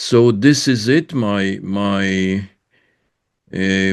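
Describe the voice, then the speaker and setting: A man with a French accent speaks at a fairly low pitch with ordinary pitch variation. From France. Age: 80s+. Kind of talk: interview, personal background. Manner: halting, many fillers.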